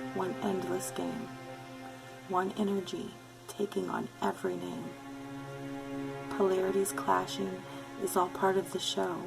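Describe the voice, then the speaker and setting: With music in the background, a woman with a very deep, low pitch speaks at a fairly slow pace, her pitch swinging very widely between long, frequent pauses. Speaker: poet. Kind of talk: poetry reading.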